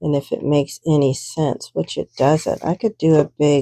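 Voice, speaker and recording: Against a quiet background, a woman mumbles at a fairly slow pace with a very deep, low pitch and a dark, mellow tone. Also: dry, close sound with no echo. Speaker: art journaling crafter. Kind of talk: craft tutorial, thinking aloud. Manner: mumbling; casual, hesitant.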